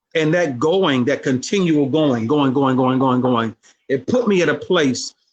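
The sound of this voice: This man's voice has a fairly bright tone and lively intonation.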